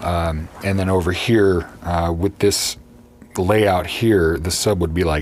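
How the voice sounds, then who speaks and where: A man with a very deep, low pitch, ordinary pitch variation and a fairly slow pace amid noticeable background noise. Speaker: YouTuber reviewing subwoofers. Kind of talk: casual video tour. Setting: unheated coach in freezing weather. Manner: hesitant, many fillers.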